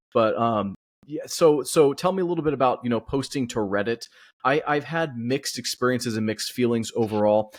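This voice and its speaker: An ordinary speaking voice belongs to a man with an American accent who talks at a fairly quick pace in a very clean recording with a silent background. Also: medium pitch for a man, ordinary pitch variation. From California. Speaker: podcast host. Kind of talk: podcast interview.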